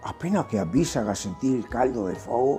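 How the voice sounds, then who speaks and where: A man speaks with a Venetian accent while music plays in the background. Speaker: grandfather storyteller. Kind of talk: folk tale telling to children.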